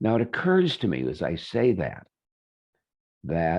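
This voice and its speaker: A fairly slow-paced man's voice. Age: 70s. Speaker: healer giving a webinar. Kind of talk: webinar talk. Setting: online webinar. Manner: halting, many fillers.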